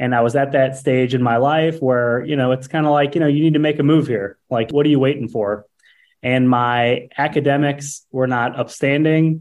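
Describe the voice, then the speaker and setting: A man with a normal speaking voice talks at a moderate pace and medium pitch. His loudness stays very even. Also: fairly even intonation. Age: 30s. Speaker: landscaping business owner and podcast host. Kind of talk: casual interview.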